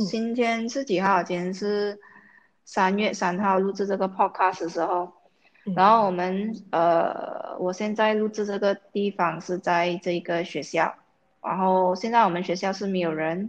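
Fairly slow speech against a quiet background. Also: woman, medium pitch for a woman. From Malaysia. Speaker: podcast co-host, works at an international school. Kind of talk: casual chat. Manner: animated.

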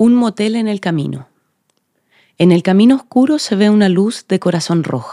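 Speaking at a moderate pace, a woman has a dark, mellow tone and lively intonation. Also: medium pitch for a woman. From Chile, Magallanes region. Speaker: actress. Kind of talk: reading aloud.

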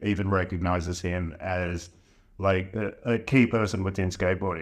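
Here is a man talking. He has an Australian accent. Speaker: podcast host. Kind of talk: casual chat. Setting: home studio with cheap microphones.

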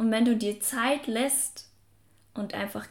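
A woman's fairly high voice, somewhat breathy, with fairly even intonation. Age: 20s. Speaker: self-help podcast host. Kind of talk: motivational podcast monologue. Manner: casual, filler-heavy.

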